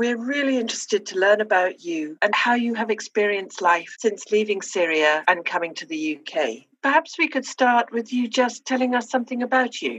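A woman with a normal speaking voice, fairly high in pitch, lively in intonation, at a moderate pace with hardly any pauses. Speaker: podcast host. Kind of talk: interview.

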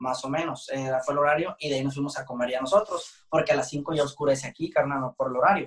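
Speaking at a fairly quick pace, a man has an unremarkable speaking voice. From Jalisco, Mexico (San Gabriel, near Guadalajara). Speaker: band drummer. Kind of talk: interview.

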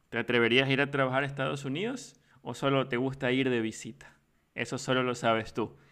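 A man talks at a fairly quick pace in a medium pitch with a bright, sharp tone. His intonation stays fairly even. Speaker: podcast host. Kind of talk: podcast intro and outro; casual interview.

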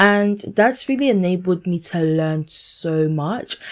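Against a silent background in a very clean recording, a woman with a London accent sounds animated and excited at medium pitch. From London, UK, Ghanaian heritage. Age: 20s. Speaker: podcaster and events manager. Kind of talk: casual solo podcast intro. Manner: animated, excited.

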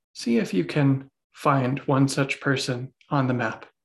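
A somewhat breathy man at medium pitch, soothing and calm in tone, with ordinary pitch variation. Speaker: meditation teacher. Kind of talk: guided meditation. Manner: slow, soothing, calm; gentle, unhurried, with long pauses.

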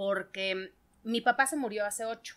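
Lively intonation marks a woman's unremarkable speaking voice. She talks at a fairly slow pace with a fairly high pitch. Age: 40s. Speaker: stand-up comedian. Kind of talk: casual chat. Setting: studio.

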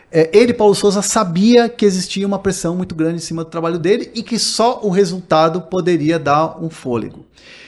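A high-pitched man speaks at a fairly quick pace with hardly any pauses. His pitch varies in an ordinary way. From Brazil. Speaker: sports journalist. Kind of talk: casual interview. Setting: studio. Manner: halting.

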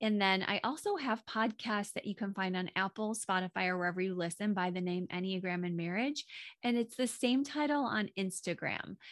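Recorded very cleanly against a silent background, a woman speaks in an ordinary speaking voice at medium pitch, with ordinary pitch variation and a moderate pace. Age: 40s. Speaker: marriage coach and podcaster. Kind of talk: casual interview chat.

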